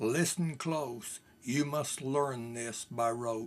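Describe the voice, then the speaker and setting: A man's put-on character voice at medium pitch, delivered at a very slow pace. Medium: read story. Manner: menacing.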